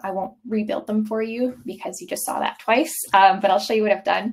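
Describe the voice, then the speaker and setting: A fairly high-pitched woman's voice at a fairly quick pace. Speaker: software product demo presenter. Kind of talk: live webinar product demo. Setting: live webinar with screen share. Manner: casual, many filler ums.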